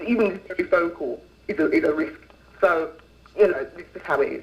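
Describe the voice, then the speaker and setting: Against noticeable background noise, a man talks with long, frequent pauses. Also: big swings in loudness. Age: 20s. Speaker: activist guest on talk show. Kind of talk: interview on call-in show. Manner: animated.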